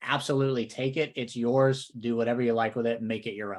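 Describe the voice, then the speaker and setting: A man with a Southern accent at a fairly quick pace, on a very clean recording with a silent background. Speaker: real estate coach. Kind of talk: podcast discussion.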